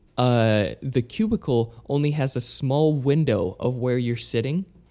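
At a fairly slow pace, a man with a dark, mellow tone speaks at medium pitch with ordinary pitch variation, captured in a very clean recording with a silent background. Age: 20s. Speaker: podcast co-host. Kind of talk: casual chat.

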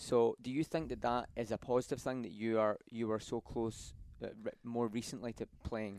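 With a Scottish accent, a man speaks at a moderate pace in a dry, close recording with no echo. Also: medium pitch for a man, fairly even intonation. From Scotland, Glasgow. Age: 20s. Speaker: student athlete and podcast host. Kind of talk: casual interview. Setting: studio.

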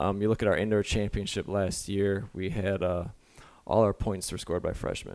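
Monotone and flat, a man speaks at a moderate pace with a fairly low pitch. The recording is very clean, and the background is silent. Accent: American. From Michigan. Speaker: college track and field coach. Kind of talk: casual interview.

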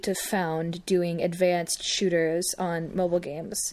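At a very slow pace, a woman talks. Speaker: podcast co-host. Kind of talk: casual banter, joking chat.

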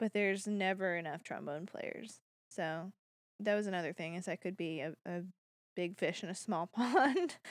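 Dry and close with no echo, this very clean recording over a silent background carries an ordinary speaking voice at a moderate pace. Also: woman, medium pitch for a woman, ordinary pitch variation. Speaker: podcast co-host. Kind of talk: casual chat.

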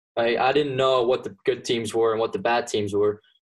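A man with a medium pitch and a slight Flemish accent talks at a fairly quick pace. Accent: Flemish-accented English, light. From Belgium (Flanders). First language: Dutch (Flemish). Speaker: college golfer. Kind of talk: casual interview. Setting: remote call from home.

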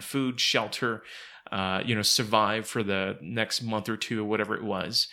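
A man with a plain, everyday voice holds a medium pitch, his pitch varying in an ordinary way. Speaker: podcast host. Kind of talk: casual chat.

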